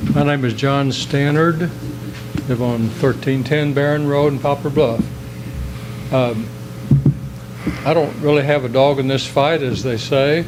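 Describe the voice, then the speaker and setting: Long, frequent pauses break up a man's fairly slow speech at a medium pitch with fairly even intonation. Noticeable background noise and audible room echo fill the recording. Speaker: citizen speaking at council meeting. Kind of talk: public comment at council meeting. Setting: council chambers, public meeting. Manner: loud; halting. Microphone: too quiet, backed off the mic.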